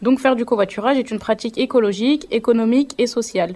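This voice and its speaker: A woman's dark, mellow voice at fairly high pitch and a very fast pace. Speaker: vocational student, radio presenter. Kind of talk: scripted presentation.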